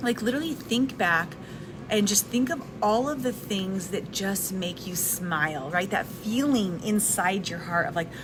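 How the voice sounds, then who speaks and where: A soft-spoken woman at medium pitch, moderate pace and lively intonation, over noticeable background noise. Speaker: live video host, wellness and personal development content creator. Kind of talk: casual live talk to camera. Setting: recorded in a restaurant with background noise. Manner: soft-spoken, conversational.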